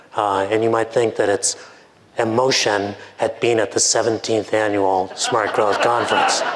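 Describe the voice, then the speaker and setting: A man at medium pitch talks at a moderate pace, with audible room echo and noticeable background noise. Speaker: professor and author. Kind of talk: conference keynote. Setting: stage with audience. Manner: halting, many fillers.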